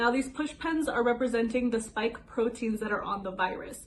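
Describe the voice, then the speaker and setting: A woman talks at a moderate pace in a high voice with ordinary pitch variation. Noticeable background noise runs under her. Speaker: TV news reporter. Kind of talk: TV news reporting.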